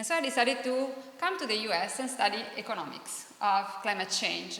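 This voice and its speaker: Over noticeable background noise and audible room echo, a woman with an Italian accent speaks fairly quickly in a fairly high voice with lively intonation. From Italy. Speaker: professor. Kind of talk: panel presentation.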